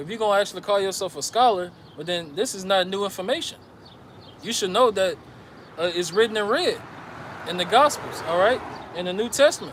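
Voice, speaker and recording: A man's high-pitched voice with ordinary pitch variation, long and frequent pauses, and noticeable background noise. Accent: American. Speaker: religious teacher. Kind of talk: sermon. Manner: stuttering at times.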